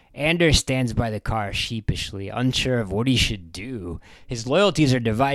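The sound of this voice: Someone reads in an unforced voice. Pitch varies in an ordinary way.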